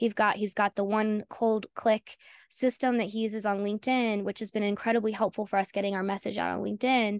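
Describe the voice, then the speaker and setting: Against a quiet background, a woman with a fairly high voice talks fairly quickly in a monotone, flat intonation, the sound dry and close with no echo. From North Carolina, US South. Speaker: AI consultant, founder. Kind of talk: interview conversation.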